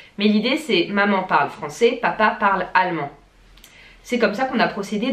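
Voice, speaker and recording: With lively intonation, a woman talks at a medium pitch. Hers is an ordinary speaking voice. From France. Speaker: vlogger. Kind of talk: casual vlog talk to camera.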